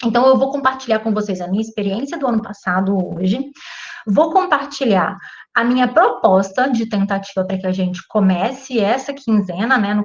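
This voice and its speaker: A woman's medium-pitched, somewhat breathy voice moves at a moderate pace, her pitch varying in an ordinary way. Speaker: physics teacher. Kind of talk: online class introduction.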